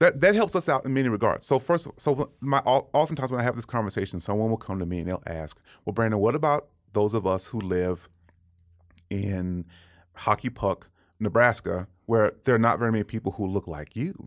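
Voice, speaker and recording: A man with an ordinary speaking voice and an American accent talks at a fairly quick pace, medium in pitch and lively in intonation, in a dry, close sound with no echo and a very clean recording with a silent background. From Texas, Dallas. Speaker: pastor. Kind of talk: interview conversation.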